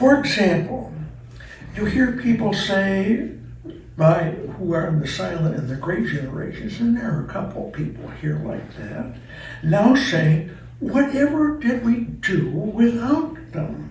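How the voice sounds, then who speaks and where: Audible room echo surrounds a man who talks fairly slowly. Background noise is noticeable too. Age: 80s+. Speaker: retirement community resident essayist. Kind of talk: reading aloud of personal essay.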